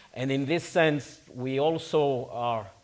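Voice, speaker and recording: This man speaks at a medium pitch. He has a Spanish accent. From Spain. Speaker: conference panel chair. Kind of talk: conference speech.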